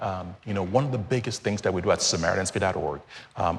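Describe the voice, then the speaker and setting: Speaking with a Nigerian accent, a man with a fairly low pitch talks very fast with lively intonation over noticeable background noise. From Nigeria, Lagos. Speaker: charity founder. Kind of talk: TV interview.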